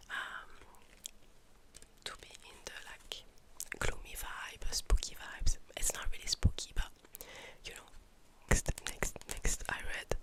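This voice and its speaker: Whispering at a fairly slow pace, a woman can be heard over noticeable background noise. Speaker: ASMR creator and book reviewer. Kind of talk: ASMR monthly reading wrap-up, calm talk to camera. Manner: soft-spoken, calm, relaxing.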